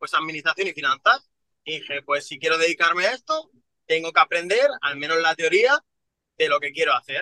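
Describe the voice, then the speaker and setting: At a fairly quick pace, a man talks in a high voice with a bright, sharp tone and ordinary pitch variation. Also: dry, close sound with no echo. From Madrid, Spain (Villaverde). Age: 20s. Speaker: real estate entrepreneur. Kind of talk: interview.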